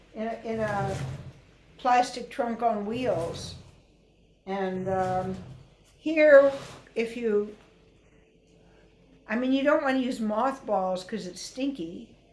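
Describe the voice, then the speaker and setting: A woman's fairly high voice with ordinary pitch variation, very slow and full of long, frequent pauses, in audible room echo. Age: 70s. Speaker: Odissi dance teacher and researcher. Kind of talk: webinar lecture with costume demonstration. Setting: video call webinar. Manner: conversational, hesitant fillers.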